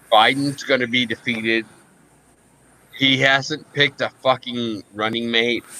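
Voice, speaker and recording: A man speaks in a bright, sharp tone at medium pitch, with monotone, flat intonation and a fairly slow pace. Long, frequent pauses break up his speech, and the sound is dry and close with no echo. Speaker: podcast co-host and military veteran. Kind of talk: casual political chat. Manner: slurred, hiccuping.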